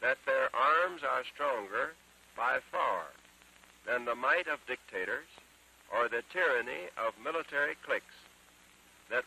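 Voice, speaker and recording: A man with an American accent speaks in a solemn tone at a fairly slow pace with long, frequent pauses, the sound dry and close with no echo over noticeable background noise. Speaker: US president giving a radio address. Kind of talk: solemn historic speech. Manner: solemn, measured.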